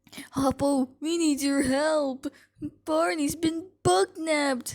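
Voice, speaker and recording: A woman uses a put-on character voice pitched high. She speaks very slowly. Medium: solo performance. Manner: excitable.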